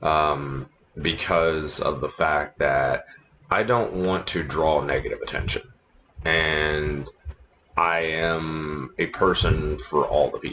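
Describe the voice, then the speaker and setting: A man's very deep, low voice at a very slow pace, fairly even in intonation, with noticeable background noise. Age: 40s. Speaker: livestream gamer and former radio DJ. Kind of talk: casual chat. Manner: low-key, talking low. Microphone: laptop microphone, quality a bit garbage.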